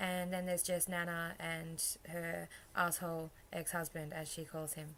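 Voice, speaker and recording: The voice has a monotone, flat intonation, and audible room echo surrounds it. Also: woman, fairly low pitch for a woman, moderate pace. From Queensland, Australia. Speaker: vlogger. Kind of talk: casual vlog, accent challenge. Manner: casual, hesitant with fillers.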